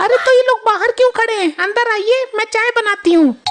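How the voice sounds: In a cartoonish character voice, a woman speaks at extremely high pitch and a moderate pace, with faint music in the background.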